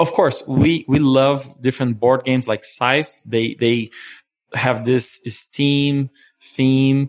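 The speech comes at a very slow pace, with very even loudness and fairly even intonation. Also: man, medium pitch for a man. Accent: Portuguese. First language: Portuguese. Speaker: board game community organizer. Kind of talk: interview. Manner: hesitant.

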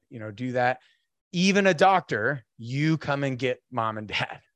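A man with an unremarkable speaking voice, medium in pitch, recorded dry and close with no echo. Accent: American. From North Idaho. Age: 40s. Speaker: Marine veteran and fatherhood speaker. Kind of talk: casual chat.

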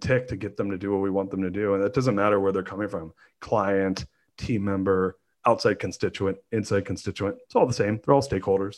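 A man with a Californian accent speaks at a very fast pace and a fairly low pitch over a quiet background. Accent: Californian American. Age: 40s. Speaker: entrepreneur. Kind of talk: casual interview.

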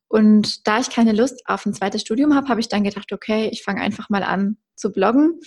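Her fairly high voice is somewhat breathy as this woman talks at a fairly quick pace, the sound dry and close with no echo against a quiet background. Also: ordinary pitch variation, hardly any pauses. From Germany, Westerwald. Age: 20s. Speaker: content creator and entrepreneur. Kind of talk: podcast interview.

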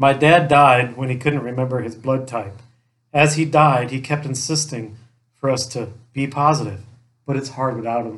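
Fairly even in intonation, an unremarkable speaking voice moves at a moderate pace. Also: man, medium pitch for a man. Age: 40s. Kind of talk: casual chat with jokes.

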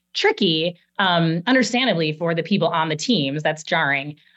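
A woman with an ordinary speaking voice and a fairly low pitch talks at a moderate pace. Her intonation is lively, and the background is quiet. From US Midwest, Chicago. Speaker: marketing executive. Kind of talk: interview.

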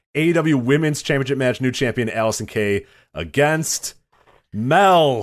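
A man at a fairly slow pace with lively intonation, quiet background. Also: medium pitch for a man. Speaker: wrestling podcast co-host. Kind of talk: casual chat. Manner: loud.

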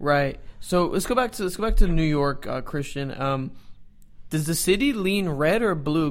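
This man has an unremarkable speaking voice, fairly high in pitch. He talks at a moderate pace. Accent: American. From Dallas, Texas. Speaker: soccer podcast co-host. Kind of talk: casual chat.

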